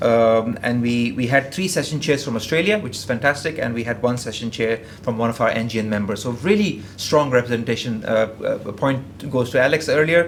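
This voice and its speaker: A man at a medium pitch and fairly quick pace, ordinary pitch variation, audible room echo and noticeable background noise. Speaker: engineer presenting at industry conference. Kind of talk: conference presentation. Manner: fast; halting, many fillers and repetitions.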